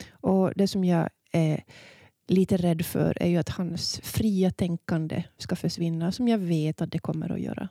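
A woman speaks at a fairly slow pace with a dark, mellow tone and fairly low pitch, her intonation fairly even. The recording is very clean with a silent background and a dry, close sound with no echo. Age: 40s. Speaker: podcast host and editor. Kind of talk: casual chat.

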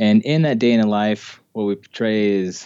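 A man with an American accent has a plain, everyday voice and a fairly low pitch. He talks at a moderate pace. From Utah (Ogden). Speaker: film director and actor. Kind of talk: casual interview.

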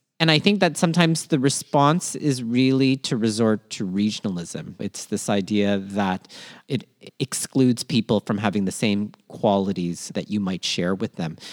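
A man with a Canadian accent has a plain, everyday voice at a fairly low pitch, with lively intonation. He speaks at a moderate pace in a dry, close sound with no echo. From Toronto, Canada (born in Manila). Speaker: podcast co-host, educator on social justice. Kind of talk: casual educational chat. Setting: remote podcast recording.

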